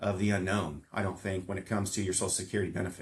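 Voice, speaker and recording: Speaking very fast, a man with an American accent has a fairly low pitch. His voice is somewhat breathy. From Southern California. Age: 40s. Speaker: financial planner. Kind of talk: casual chat.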